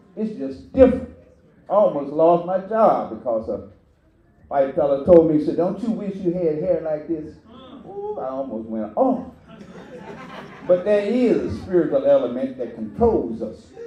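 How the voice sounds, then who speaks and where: A high-pitched man talks at a moderate pace with very wide pitch swings and long, frequent pauses. Room echo is audible, and there is noticeable background noise. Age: 80s+. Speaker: community elder speaker. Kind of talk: speech to audience. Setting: church.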